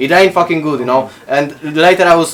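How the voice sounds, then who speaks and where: Over noticeable background noise, a man with a fairly high voice and ordinary pitch variation talks at a fairly quick pace. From Poland. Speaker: podcast guest. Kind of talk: casual chat. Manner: halting.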